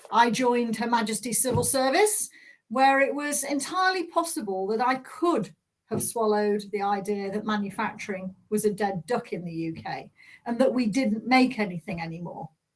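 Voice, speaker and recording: Speaking with a Yorkshire accent, a woman sounds somewhat breathy, with lively intonation at a moderate pace. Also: fairly high pitch for a woman. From south Yorkshire, England (Doncaster). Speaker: manufacturing policy director, keynote speaker. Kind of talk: keynote speech. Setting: virtual conference.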